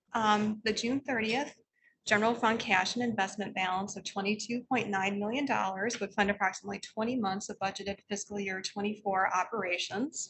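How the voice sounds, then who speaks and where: A woman speaks at a moderate pace with fairly even intonation. Her pitch is fairly high. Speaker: library system finance officer. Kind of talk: financial report at board meeting. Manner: soft-spoken; hesitant with frequent um fillers.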